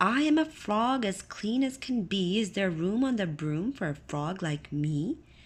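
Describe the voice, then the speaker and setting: Putting on a croaky character voice, a woman talks at a moderate pace and a medium pitch, with hardly any pauses. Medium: read story.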